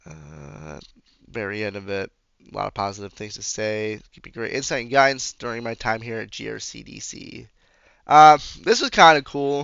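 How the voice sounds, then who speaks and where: A man at a medium pitch, moderate pace, lively intonation and big swings in loudness. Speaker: physical education student teacher. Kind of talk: casual video presentation. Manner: casual, filler-heavy.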